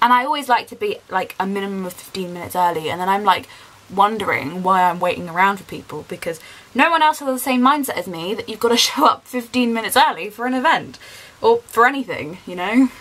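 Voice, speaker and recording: A woman talks at a very fast pace. Her loudness swings widely. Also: lively intonation. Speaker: vlogger. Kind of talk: casual vlog chat. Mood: chatty, excited. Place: home room. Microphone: phone near.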